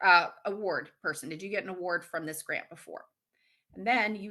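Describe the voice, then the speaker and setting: A woman with a fairly low pitch and a bright, sharp tone. Her intonation stays fairly even at a moderate pace. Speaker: grant writer and fundraising consultant. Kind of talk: webinar lecture. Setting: video call. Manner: halting.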